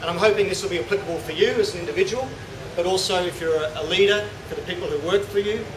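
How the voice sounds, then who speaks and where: Over noticeable background noise and audible room echo, a man with an Australian accent talks very fast at a high pitch, his intonation fairly even. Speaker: CEO and presenter at a professional event. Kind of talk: presentation to an audience. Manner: informal.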